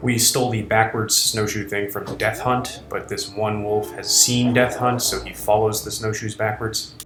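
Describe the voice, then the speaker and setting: With music in the background, a man speaks at a moderate pace in a fairly low, monotone, flat voice. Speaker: film director. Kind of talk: behind-the-scenes commentary. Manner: casual.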